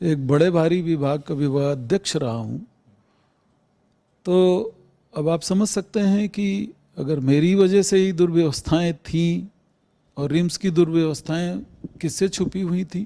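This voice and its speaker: A man's dark, mellow voice at a high pitch, broken by long, frequent pauses. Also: ordinary pitch variation. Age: 60s. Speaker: hospital director, doctor. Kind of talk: news interview. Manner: formal.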